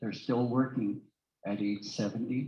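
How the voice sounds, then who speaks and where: With ordinary pitch variation, a man talks in a somewhat breathy voice. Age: 70s. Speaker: real estate academy founder and speaker. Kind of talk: seminar presentation. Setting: live event with audience, also on Zoom.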